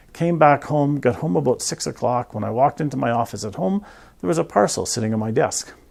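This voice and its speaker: A man at medium pitch with lively intonation and a moderate pace, on a very clean recording with a silent background. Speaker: professional photographer. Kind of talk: casual vlog talk. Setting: studio. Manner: soft-spoken.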